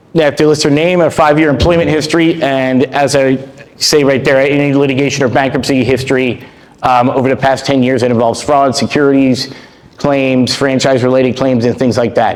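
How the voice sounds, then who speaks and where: Flat, monotone intonation comes at a fairly quick pace over noticeable background noise. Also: man, medium pitch for a man, very even loudness. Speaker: franchise attorney. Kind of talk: presentation to a group. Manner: fast.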